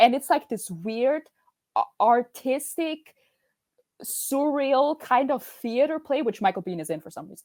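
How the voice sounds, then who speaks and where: A woman speaks with a high pitch, an animated tone and lively intonation. Her loudness swings widely at a fairly slow pace. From Austria. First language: German. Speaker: podcast guest, film fan. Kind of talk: casual chat. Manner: animated, many self-corrections.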